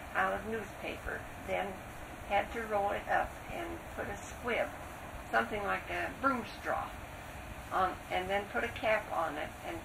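Amid noticeable background noise, a woman talks at a moderate pace. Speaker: interviewee. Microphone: old recording.

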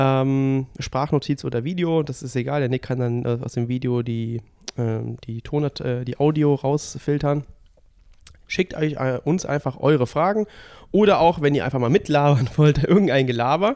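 Recorded very cleanly against a silent background, a man speaks at a moderate pace in a fairly high pitch with a dark, mellow tone and ordinary pitch variation. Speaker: triathlon coach and podcast host. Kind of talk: casual chat. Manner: soft-spoken. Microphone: too quiet, level turned up.

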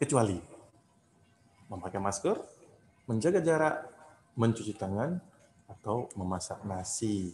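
A man speaks at a fairly slow pace with long, frequent pauses and very wide pitch swings. Light background noise can be heard. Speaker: event emcee. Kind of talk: event hosting. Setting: video call. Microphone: video call.

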